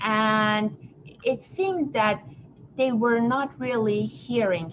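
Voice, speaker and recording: A woman at medium pitch speaks very slowly over noticeable background noise. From abroad, not the US. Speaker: business consultant. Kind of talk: podcast interview.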